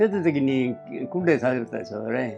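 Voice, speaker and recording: Music plays in the background as a man speaks at a fairly slow pace. His pitch swings very widely. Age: 80s+. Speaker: war veteran. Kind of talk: interview answer. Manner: slow, conversational.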